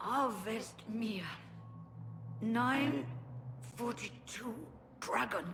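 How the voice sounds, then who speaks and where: A woman's put-on character voice, fairly high-pitched, at a very slow pace with long, frequent pauses, over clear background noise. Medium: video game. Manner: urgent, strained.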